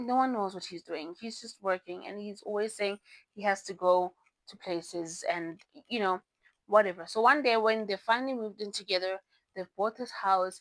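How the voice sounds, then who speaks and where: A woman with a non-native accent at a medium pitch and moderate pace, ordinary pitch variation, big swings in loudness, and a dry, close sound with no echo. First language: not English. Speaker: book reviewer. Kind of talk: casual book review vlog. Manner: halting, self-correcting; animated.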